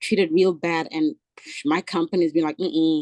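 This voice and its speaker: A woman with an African accent at a moderate pace, lively intonation, and a dry, close sound with no echo. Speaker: travel nurse and home care agency owner. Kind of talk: casual chat.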